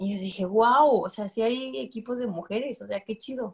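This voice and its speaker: Against a quiet background, a woman talks at a fairly quick pace, her fairly high pitch showing ordinary variation. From Guadalajara, Jalisco, Mexico. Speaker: women's football coach. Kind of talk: interview. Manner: casual, many fillers. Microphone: video call.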